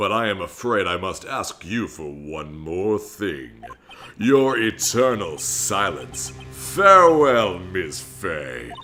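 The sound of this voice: Over background music, a man in a put-on character voice speaks at a very slow pace with a menacing, theatrical tone. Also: fairly low pitch for a man.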